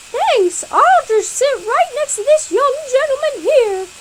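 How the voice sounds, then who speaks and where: Clear background noise sits behind a woman's put-on, squeaky character voice. She talks at an extremely high pitch and a fairly slow pace. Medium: read story.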